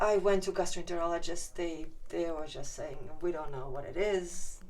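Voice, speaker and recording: A woman with a Ukrainian accent, fairly low pitch and moderate pace, amid audible room echo and noticeable background noise. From Ukraine. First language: Ukrainian or Russian. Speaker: patient sharing her story. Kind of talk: testimony. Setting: inside a hyperbaric chamber. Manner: halting.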